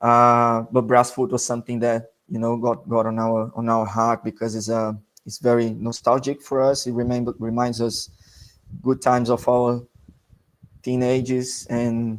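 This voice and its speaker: A man with a Portuguese accent speaks at a moderate pace and medium pitch. His intonation is monotone and flat. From Brazil. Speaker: amateur football club player and representative. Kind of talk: podcast interview. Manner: halting, searching for words.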